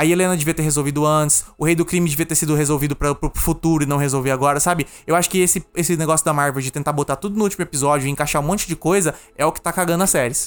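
Recorded very cleanly against a silent background, a man speaks at a very fast pace. His pitch sits fairly high. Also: hardly any pauses. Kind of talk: casual chat. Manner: animated.

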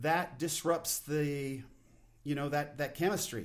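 Here a man with a plain, everyday voice talks at a fairly high pitch and a fairly slow pace. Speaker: podcast host. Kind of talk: solo podcast monologue. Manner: casual, unpolished, self-deprecating.

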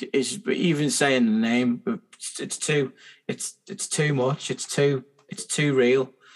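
Very slow speech from a man with a fairly high pitch, lively intonation and big swings in loudness. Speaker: podcast host. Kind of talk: casual chat.

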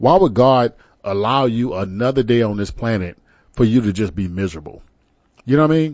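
Using lively intonation and medium pitch, a man with an American accent speaks at a fairly quick pace. He leaves long, frequent pauses. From Texas (San Antonio). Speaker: internet radio talk show host. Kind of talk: talk radio monologue. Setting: studio. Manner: animated.

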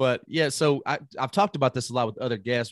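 Against a quiet background, a man with an unremarkable speaking voice and medium pitch talks at a fairly quick pace, the sound dry and close with no echo. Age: 30s. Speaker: podcast host. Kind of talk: casual interview.

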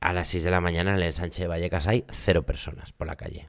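A man with a very deep, low voice, recorded very cleanly against a silent background. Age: 40s. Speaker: comedian. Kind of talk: casual chat.

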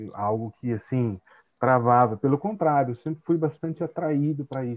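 A man speaks with a medium pitch, ordinary pitch variation and a moderate pace. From Brazil, São Paulo interior (Tatuí). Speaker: translator and teacher. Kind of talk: casual interview. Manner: halting, many fillers.

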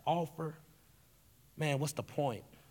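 With a Southern US accent, a man speaks at a moderate pace. Audible room echo surrounds his voice. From Tennessee. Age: 20s. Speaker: youth pastor. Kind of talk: sermon. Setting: stage with audience.

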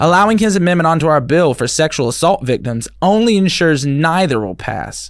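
Using an unremarkable speaking voice and an American accent, a man at a fairly high pitch talks at a fairly quick pace with lively intonation and hardly any pauses. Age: 30s. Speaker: podcast host. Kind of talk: casual chat. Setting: studio.

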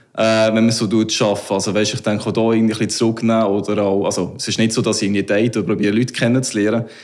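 Speech in a Solothurn accent comes at a very fast pace. The intonation is monotone and flat. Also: man, medium pitch for a man. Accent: Solothurn Swiss German dialect. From Solothurn, Switzerland. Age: 30s. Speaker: salon owner. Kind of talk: casual interview.

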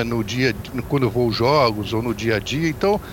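A man speaks at a moderate pace. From Brazil, Volta Redonda (Rio de Janeiro state). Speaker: basketball commentator. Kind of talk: podcast sports discussion.

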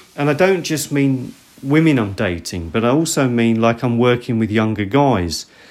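A man with a British accent, lively in intonation, at a moderate pace. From Britain. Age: 50s. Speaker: podcast host. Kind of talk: solo podcast monologue. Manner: halting.

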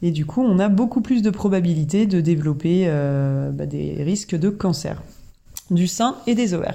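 Her tone dark and mellow, a woman speaks fairly slowly at a fairly low pitch with lively intonation. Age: 40s. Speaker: podcast host sharing health testimony. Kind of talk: personal testimony podcast. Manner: casual, with many hesitations.

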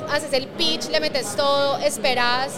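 A woman's high-pitched voice with audible room echo and crowd noise in the background. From Colombia. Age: 30s. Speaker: startup CEO. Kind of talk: casual interview. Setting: tech conference.

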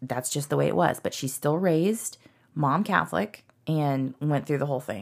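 Speaking at a moderate pace, a woman uses lively intonation in a very deep, low voice with vocal fry. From Texas, Dallas area. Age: 40s. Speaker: podcast guest. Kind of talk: casual chat.

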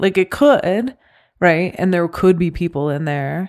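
A woman speaks in an ordinary speaking voice at a fairly low pitch and moderate pace, recorded very cleanly with a silent background. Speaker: podcast host. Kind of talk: casual chat.

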